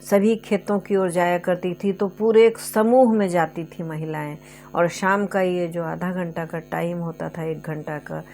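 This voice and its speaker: Music plays in the background as a woman with a fairly low pitch speaks with hardly any pauses. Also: fairly even intonation. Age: 60s. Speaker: storyteller. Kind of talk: storytelling with personal reminiscence. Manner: halting, with fillers.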